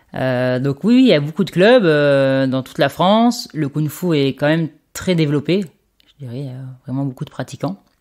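In a very clean recording with a silent background, a woman with a very deep, low voice speaks with big swings in loudness. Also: lively intonation, moderate pace. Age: 30s. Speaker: martial arts instructor. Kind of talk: interview.

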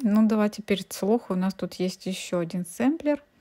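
On a very clean recording with a silent background and a dry, close sound without echo, a woman speaks in a dark, mellow, somewhat breathy tone with ordinary pitch variation. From Ukraine. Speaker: cross-stitch embroidery blogger. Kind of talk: casual video review. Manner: chatty, thinking aloud.

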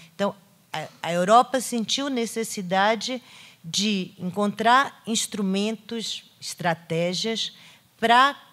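This woman talks very slowly, and her pitch varies in an ordinary way. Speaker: literature professor. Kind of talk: lecture. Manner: halting, many fillers. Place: hall. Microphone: podium.

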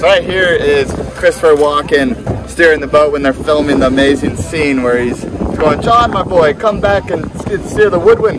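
Over noticeable background noise, a man speaks at a moderate pace with ordinary pitch variation, the sound dry with no echo. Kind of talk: storytelling tour guide chat. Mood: cheerful, amused. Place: boat.

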